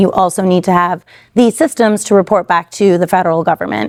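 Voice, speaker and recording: A woman speaks at a medium pitch and a moderate pace, with ordinary pitch variation. The recording is very clean, with a silent background. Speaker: panel speaker. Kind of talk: panel discussion. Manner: loud.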